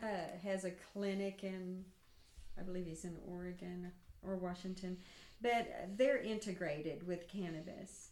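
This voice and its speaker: Amid noticeable background noise, a woman of medium pitch speaks with fairly even intonation and long, frequent pauses. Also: moderate pace. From Oklahoma, Stigler. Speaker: retired nurse and cannabis activist. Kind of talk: casual interview chat. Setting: lakeside cabin.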